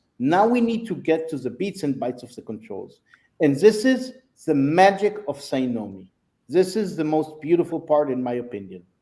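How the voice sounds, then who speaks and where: A man at a fairly high pitch with a dark, mellow tone, very wide pitch swings, big swings in loudness and a moderate pace. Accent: non-native. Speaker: software sales executive. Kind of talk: product demo. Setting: live video stream.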